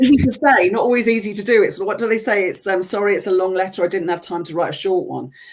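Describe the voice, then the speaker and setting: The speech runs at a very fast pace with hardly any pauses, over noticeable background noise. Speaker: business development specialist. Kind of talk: webinar interview answer. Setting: live webinar. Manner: speeds up when excited.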